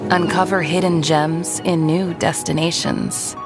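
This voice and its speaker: The voice sounds dry with no echo, and clear music plays in the background. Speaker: voice actor. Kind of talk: TV commercial read. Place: studio.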